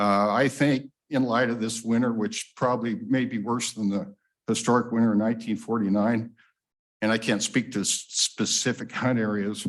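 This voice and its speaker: Delivering his words in a flat monotone, a man with an American accent speaks at medium pitch and a moderate pace. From Wyoming, US West. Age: 60s. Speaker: public commenter, hunter. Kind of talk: public comment at meeting. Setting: public meeting room.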